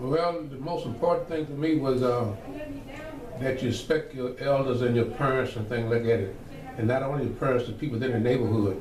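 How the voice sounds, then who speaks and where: With an American accent, a man talks with ordinary pitch variation amid noticeable background noise and audible room echo. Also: medium pitch for a man, fairly quick pace. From Virginia, US South. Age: 70s. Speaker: church elder, oral history interviewee. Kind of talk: oral history interview. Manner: conversational, with fillers.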